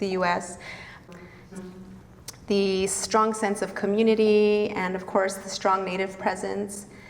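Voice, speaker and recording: Over noticeable background noise, a woman talks at a fairly slow pace and medium pitch, her intonation monotone and flat. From northern New Mexico. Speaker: vegan cafe owner and activist. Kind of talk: storytelling talk to an audience. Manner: casual, conversational.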